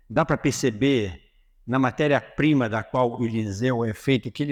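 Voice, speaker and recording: An unremarkable speaking voice at a moderate pace, with ordinary pitch variation and a quiet background. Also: man. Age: 60s. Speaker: motivational speaker. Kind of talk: religious motivational talk. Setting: auditorium with audience.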